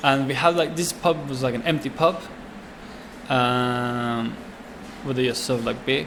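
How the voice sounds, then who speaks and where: Amid noticeable background noise, a man with a Swedish accent speaks at a medium pitch with ordinary pitch variation and long, frequent pauses. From Sweden. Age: 20s. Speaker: chef and restaurant owner. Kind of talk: interview answer.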